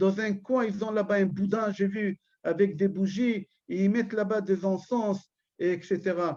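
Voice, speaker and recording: Loud and at a fairly slow pace, a man with an Israeli accent speaks in a high, dark, mellow voice with fairly even intonation. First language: Hebrew (speaking French). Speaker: rabbi. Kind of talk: religious lecture. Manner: loud and firm; halting, repeats words.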